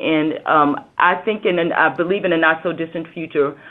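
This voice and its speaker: A woman with a Southern US accent speaks at a very deep, low pitch. Her pace is moderate and her pitch variation ordinary. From US South. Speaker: government regulator.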